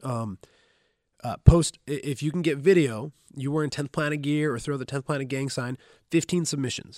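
In a very clean, dry, close recording with no echo and a silent background, a man with an ordinary speaking voice talks at a moderate pace, his fairly high pitch showing ordinary variation. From Southern Oregon, US. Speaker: jiu-jitsu instructor and retired MMA fighter. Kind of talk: casual chat. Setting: gym.

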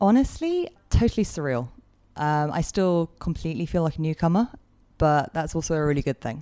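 A woman speaks with a London accent at a fairly quick pace, her intonation lively. Her voice is fairly low in pitch, with a dark, mellow tone. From London, England. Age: 30s. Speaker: guest sharing recovery story. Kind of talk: interview.

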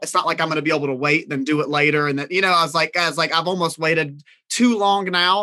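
This man talks very fast in a Southern US accent, his tone bright and sharp and his intonation fairly even. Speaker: caregiver and reality TV cast member. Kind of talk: casual chat.

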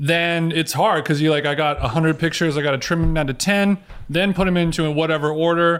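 A man's fairly high voice at a fairly quick pace, fairly even intonation, and noticeable background noise. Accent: Southern Californian. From Orange County, California. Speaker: podcaster. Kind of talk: casual chat.

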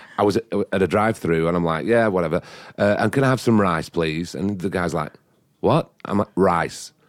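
An English accent at a moderate pace with ordinary pitch variation, dry and close with no echo on a very clean recording with a silent background. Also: man, very deep, low pitch for a man. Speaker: set designer. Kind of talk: casual chat.

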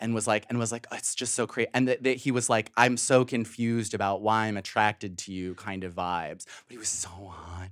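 A man with a plain, everyday voice and a fairly low pitch talks with hardly any pauses and fairly even intonation. His loudness swings widely, and the recording is very clean with a silent background. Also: fairly quick pace. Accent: American. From Chicago suburbs. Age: 30s. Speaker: writer and podcaster. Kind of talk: casual chat.

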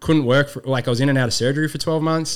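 This voice belongs to a man. The accent is Australian. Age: 30s. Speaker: youth program founder. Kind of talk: casual chat. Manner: animated.

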